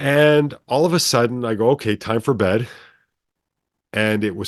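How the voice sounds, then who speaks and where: Against a quiet background, a man with a plain, everyday voice talks at a moderate pace with lively intonation. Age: 60s. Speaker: brainwave entrainment developer. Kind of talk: casual interview storytelling.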